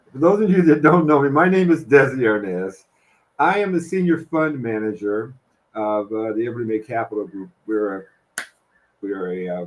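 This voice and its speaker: This man's voice swings very widely in pitch. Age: 70s. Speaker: real estate fund manager; presenter. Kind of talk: webinar presentation. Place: home room. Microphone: earbuds.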